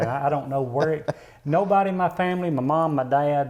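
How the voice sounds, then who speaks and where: A man talks at a fairly quick pace in a fairly high voice, with ordinary pitch variation. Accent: Southern US. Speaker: interview guest, singer.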